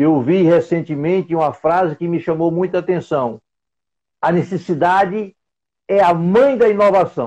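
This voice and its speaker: A man with a high pitch and a dark, mellow tone talks at a fairly slow pace. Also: ordinary pitch variation. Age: 70s. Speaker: logistics expert and trainer. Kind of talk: live stream interview. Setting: online live stream.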